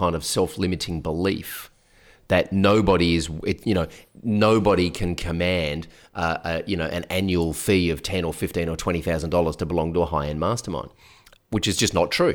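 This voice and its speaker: On a very clean recording with a silent background, a man with an Australian accent speaks at a moderate pace with a very deep, low pitch and fairly even intonation. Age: 40s. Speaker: business coach. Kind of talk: interview. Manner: casual.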